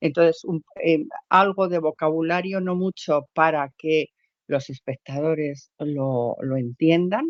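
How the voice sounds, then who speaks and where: A woman's fairly low voice at a very slow pace, with ordinary pitch variation. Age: 60s. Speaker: amateur theatre actress. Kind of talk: interview. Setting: podcast. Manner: halting.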